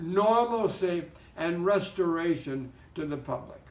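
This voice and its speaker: With lively intonation and a high pitch, a man speaks in a room with audible echo. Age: 80s+. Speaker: pastor. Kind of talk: exhortation.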